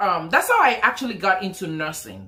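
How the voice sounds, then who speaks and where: With a strong Nigerian accent, a woman speaks in a bright, sharp tone and lively intonation. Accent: thick Nigerian. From Nigeria, Lagos. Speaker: nurse and vlogger. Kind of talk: casual vlog story time.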